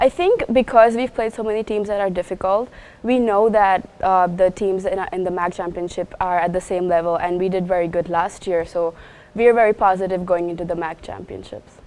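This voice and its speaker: An ordinary speaking voice belongs to this woman, pitched at medium height. She talks at a fairly quick pace with fairly even intonation. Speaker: college tennis player. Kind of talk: interview.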